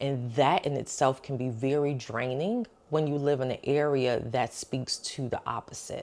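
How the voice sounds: A woman speaks at a moderate pace with an extremely low pitch. Her tone is slightly mellow, with ordinary pitch variation.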